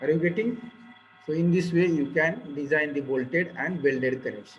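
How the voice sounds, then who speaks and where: A man in a Marathi accent at a moderate pace, with audible room echo and music in the background. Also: fairly high pitch for a man, ordinary pitch variation. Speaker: engineering lecturer. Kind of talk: lecture.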